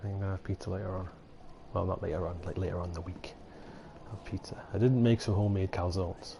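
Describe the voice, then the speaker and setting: The voice is dark and mellow, somewhat breathy, with fairly even intonation at a very fast pace. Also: man, very deep, low pitch for a man. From Britain, a cold northern area. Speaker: gaming streamer. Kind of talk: live gameplay commentary. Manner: rambling, casual.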